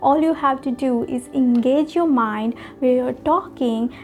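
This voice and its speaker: A woman with a non-native accent speaks at a fairly slow pace in a high voice, her pitch varying in an ordinary way over noticeable background noise. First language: not English. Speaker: public speaking coach / vlogger. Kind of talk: tutorial.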